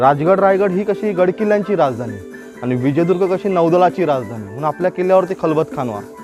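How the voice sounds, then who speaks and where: A man talks with lively intonation. Background music accompanies him. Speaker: fort tour guide. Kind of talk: guided tour explanation. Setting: outdoors.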